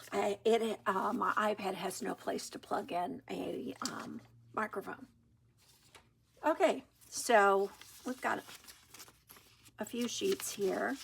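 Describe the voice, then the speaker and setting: A soft-spoken delivery with vocal fry and lively intonation, at a very slow pace with long, frequent pauses. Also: woman, medium pitch for a woman. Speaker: junk journal crafter. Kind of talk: crafting tutorial. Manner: hesitant, many fillers. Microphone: iPad built-in mic, no external mic.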